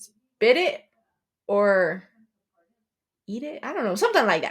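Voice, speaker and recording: Her voice fairly high, a woman speaks with very wide pitch swings and big swings in loudness. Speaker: podcast co-host. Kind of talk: casual chat. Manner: fast.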